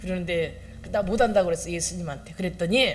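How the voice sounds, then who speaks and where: The delivery proceeds at a moderate rate. The room gives off an audible echo. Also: woman. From Chungcheong, South Korea. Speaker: pastor. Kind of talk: sermon.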